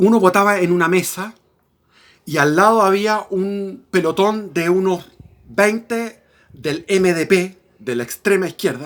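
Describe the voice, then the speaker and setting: Pitched high, a man speaks at a fairly slow pace with ordinary pitch variation. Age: 60s. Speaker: political commentator. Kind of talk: personal storytelling monologue. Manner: halting.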